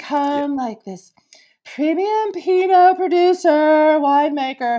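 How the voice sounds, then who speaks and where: Speaking at a fairly slow pace, a woman uses a high-pitched, put-on character voice. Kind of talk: affected, posh. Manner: pretentious, smug.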